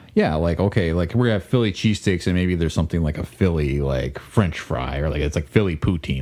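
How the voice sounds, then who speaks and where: A man with a very deep, low voice talks at a fairly quick pace with ordinary pitch variation. Noticeable background noise can be heard. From Maryland (Baltimore), then Georgia as a teen. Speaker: podcast co-host. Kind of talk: casual chat. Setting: studio.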